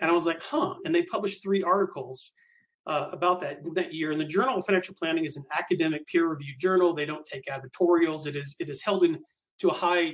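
A man talks at a very fast pace with a high pitch. His pitch variation is ordinary. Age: 50s. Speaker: reverse mortgage specialist. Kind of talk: casual interview.

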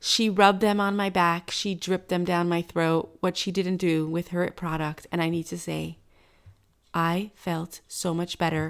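A woman's monotone, flat delivery on a very clean recording with a silent background. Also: fairly low pitch for a woman. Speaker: podcast co-host. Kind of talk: casual chat; sponsor read. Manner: giggly.

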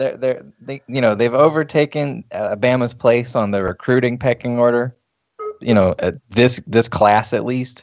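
At a moderate pace, a man with a plain, everyday voice speaks at a medium pitch with fairly even intonation. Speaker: podcast host, college football writer. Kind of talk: casual sports banter podcast.

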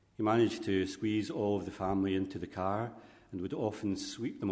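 A man with a fairly low pitch and an unremarkable speaking voice talks at a fairly quick pace. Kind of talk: funeral homily with gentle family biography. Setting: church. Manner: warm, gently humorous, speaks directly to the widow.

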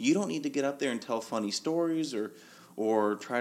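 Lively intonation runs through a normal speaking voice at a moderate pace. The recording is very clean, with a silent background. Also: man. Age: 30s. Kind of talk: casual chat.

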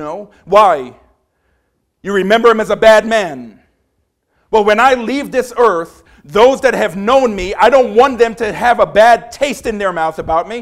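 This man talks at a fairly slow pace in a high pitch, with ordinary pitch variation. His delivery is passionate and animated, with big swings in loudness. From Trinidad. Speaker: preacher. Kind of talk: sermon. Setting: church, small room. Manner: passionate, animated.

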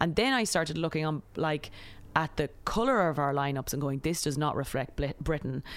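With an Irish accent, a woman speaks at a fairly quick pace in a very deep, low voice with ordinary pitch variation. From Ireland. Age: 30s. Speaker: comedian. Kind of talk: casual chat. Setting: outdoors.

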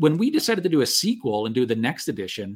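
Very wide pitch swings mark this man's speech, delivered at a fairly quick pace with a Canadian accent. The recording is very clean and the background silent. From Canada. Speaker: game publisher and former local politician. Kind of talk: casual podcast conversation. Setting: live stream.

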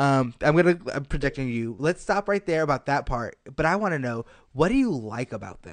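An ordinary speaking voice: a man with a fairly high pitch, lively intonation and a fairly quick pace. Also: quiet background. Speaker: podcast host. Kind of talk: casual chat. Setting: studio. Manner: excitable.

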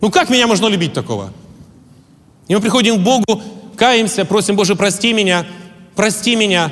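A man's high voice, very even in loudness and fairly even in intonation, at a fairly quick pace broken by long, frequent pauses. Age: 40s. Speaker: pastor. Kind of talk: sermon.

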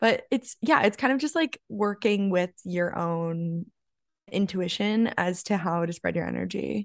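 A woman speaks at a fairly slow pace with ordinary pitch variation, in a normal speaking voice. The sound is dry and close, with no echo. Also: medium pitch for a woman. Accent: American. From Arizona. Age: 20s. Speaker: content creator and athlete. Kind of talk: casual chat.

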